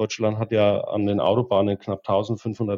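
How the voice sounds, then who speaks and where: A man with an ordinary speaking voice talks at a moderate pace, his pitch fairly low, the sound dry and close with no echo. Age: 30s. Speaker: regional volunteer coordinator of an automobile club. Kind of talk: interview.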